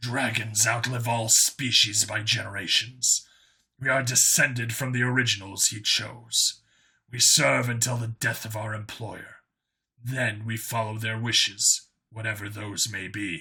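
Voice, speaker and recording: A man's raspy, put-on character voice at a medium pitch and a moderate pace. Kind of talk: audiobook character voice. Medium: read story. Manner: formal, measured, devoted.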